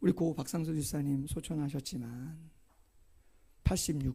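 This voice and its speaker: Somewhat breathy and dark, mellow in tone, this man's voice sits at a fairly high pitch. He speaks at a very slow pace with fairly even intonation. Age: 50s. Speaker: pastor. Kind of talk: sermon. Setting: church.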